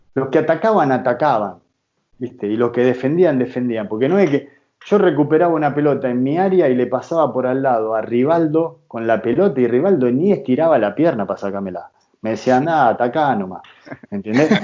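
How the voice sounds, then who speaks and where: Lively in intonation, a man talks with an Argentine accent. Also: medium pitch for a man, fairly quick pace. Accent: Rioplatense Argentine Spanish. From Argentina, Rosario. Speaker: football coach and former player. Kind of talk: interview.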